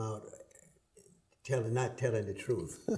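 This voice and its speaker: A man speaks in a monotone, flat intonation with audible room echo. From US South, Atlanta, Georgia. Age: 80s+. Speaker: retired politician. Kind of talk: interview.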